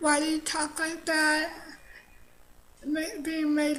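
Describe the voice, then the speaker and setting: Audible room echo carries a woman's high-pitched voice. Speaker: vlogger sharing personal story. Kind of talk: personal testimony monologue. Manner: halting, frequent pauses; hesitant, many fillers.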